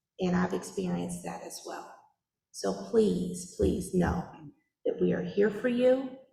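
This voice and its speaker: There is audible room echo as a woman speaks. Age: 40s. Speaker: public health official. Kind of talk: public meeting Q&A answer. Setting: church meeting with audience.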